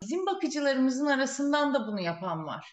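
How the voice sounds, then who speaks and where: With lively intonation and a high pitch, a woman's voice comes across dry and close with no echo. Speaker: childcare agency owner. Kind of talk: interview.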